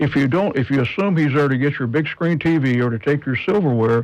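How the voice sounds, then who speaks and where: In a normal speaking voice, a man talks at a fairly quick pace, his medium pitch showing ordinary variation. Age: 60s. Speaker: firearms instructor. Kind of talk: radio interview.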